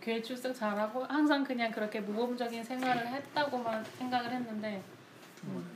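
A woman's high voice in monotone, flat intonation at a moderate pace, with audible room echo and noticeable background noise. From South Korea, outside Gyeongsang. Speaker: church member. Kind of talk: casual chat.

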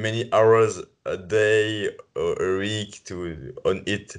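A man is speaking. He has a French accent. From France. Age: 20s. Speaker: podcast co-host and coach. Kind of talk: casual interview. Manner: halting.

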